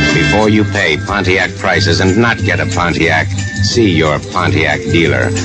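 Someone speaks at a moderate pace with loud music playing in the background. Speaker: radio commercial announcer. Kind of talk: radio commercial read. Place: studio. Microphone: old recording.

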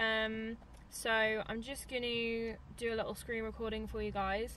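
Over light background noise, a woman speaks at a very slow pace in a dry sound with no echo. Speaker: vlogger. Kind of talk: casual vlog chat. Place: car.

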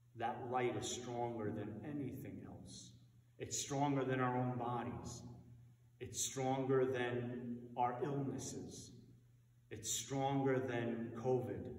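Noticeable background noise accompanies a man who speaks very slowly in a medium pitch with a monotone, flat intonation. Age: 50s. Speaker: priest. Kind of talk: sermon. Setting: dark church, livestreamed via Zoom and Facebook.

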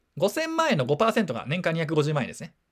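A man talks at a very fast pace in a high voice. The recording is very clean, with a silent background. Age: 30s. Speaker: personal finance YouTuber. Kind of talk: casual monologue. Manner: casual, with laughter.

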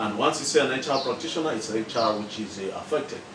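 A man with ordinary pitch variation keeps a moderate pace despite noticeable background noise. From Malawi. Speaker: professional association president. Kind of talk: interview. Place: home room.

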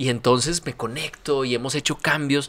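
A man's animated tone at a fairly quick pace. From Colombia. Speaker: university rector; podcast guest. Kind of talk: interview. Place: studio. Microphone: studio mic.

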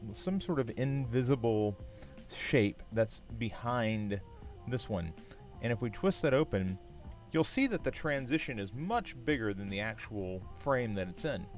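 With faint music behind him, a man speaks fairly slowly in a dry sound with no echo. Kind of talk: tutorial. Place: home room. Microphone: studio mic.

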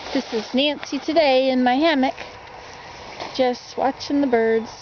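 The pitch varies in an ordinary way. The sound is dry with no echo, though noticeable background noise comes through. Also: woman. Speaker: vlogger living in a tipi. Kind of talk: casual vlog chat. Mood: relaxed, chatty. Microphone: phone near.

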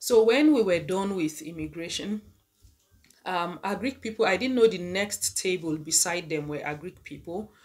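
The pitch varies in an ordinary way. The voice belongs to a woman. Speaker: vlogger. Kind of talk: casual vlog chat, storytelling. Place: home room. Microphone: phone near.

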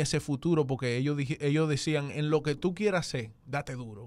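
Speaking at a moderate pace, a man uses a fairly high pitch with ordinary pitch variation. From Dominican-born, raised in the US. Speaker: urban music artist; guest. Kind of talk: radio interview. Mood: warm, grateful. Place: studio. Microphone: studio mic.

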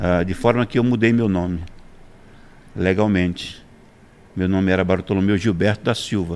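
A man with a very deep, low pitch talks at a moderate pace using fairly even intonation and long, frequent pauses. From Brazilian Northeast, interior of Pernambuco. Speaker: pastor; podcast guest, pastor. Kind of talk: interview testimony. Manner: halting, repeats words. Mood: reflective, personal life story. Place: studio. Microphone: studio mic.

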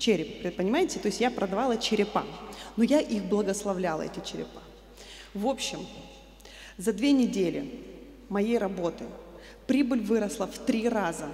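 With long, frequent pauses and audible room echo, a woman speaks at a moderate pace, her fairly high pitch showing ordinary variation. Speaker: church member giving testimony. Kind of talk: testimony speech to congregation. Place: church. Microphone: handheld.

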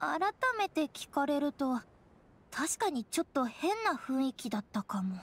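A woman's cartoonish character voice, high-pitched and fairly slow, with big pitch swings.

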